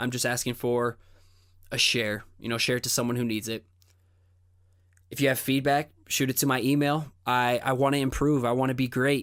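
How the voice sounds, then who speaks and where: Monotone, flat intonation at a moderate pace, broken by long, frequent pauses, comes through on a very clean recording with a silent background. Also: man, medium pitch for a man. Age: 20s. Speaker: podcast host and illustrator. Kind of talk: solo podcast monologue. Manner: stutters sometimes; casual, conversational.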